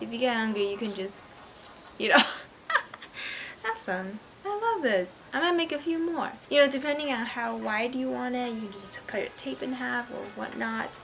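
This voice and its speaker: A woman speaks in an upbeat tone at a moderate pace. Noticeable background noise runs underneath. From Taiwan. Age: 20s. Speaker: craft YouTuber. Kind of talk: casual DIY tutorial talk to camera. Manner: casual, upbeat.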